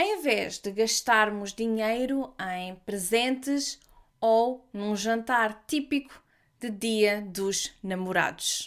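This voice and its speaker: Speaking very slowly with a European Portuguese accent, a woman uses a fairly high pitch and ordinary pitch variation on a very clean recording with a silent background. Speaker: language teacher podcaster. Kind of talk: language-learning podcast narration. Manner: slow, clear.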